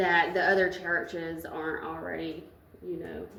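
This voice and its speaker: Audible room echo surrounds the voice. Music plays in the background. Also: woman. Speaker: city council member. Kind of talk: council meeting discussion. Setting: municipal building meeting room. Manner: hesitant.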